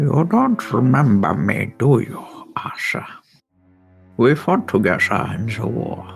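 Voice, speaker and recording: A man's put-on character voice at medium pitch and a fairly slow pace, with faint music in the background. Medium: actual play. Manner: familiar, knowing.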